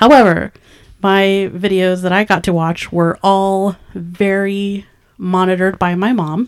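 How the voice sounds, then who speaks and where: In an unremarkable speaking voice, a woman speaks with an American accent. Her pace is fairly slow, her pitch medium, and her intonation fairly even. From California Central Valley, small town. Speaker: independent filmmaker, podcast co-host. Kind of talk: casual chat.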